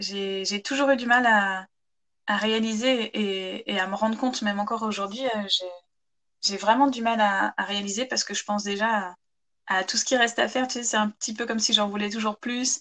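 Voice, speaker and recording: Bright and sharp in tone, the voice moves at a moderate pace with fairly even intonation and long, frequent pauses. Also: woman, fairly high pitch for a woman. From France, Chartres (Eure-et-Loir). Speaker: novelist and former photographer. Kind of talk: interview. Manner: hesitant, with many repetitions.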